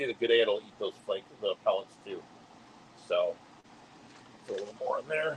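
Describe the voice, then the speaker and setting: Long, frequent pauses break up this man's speech. Noticeable background noise runs underneath. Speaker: fish keeping youtuber. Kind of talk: live stream tank tour. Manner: fast.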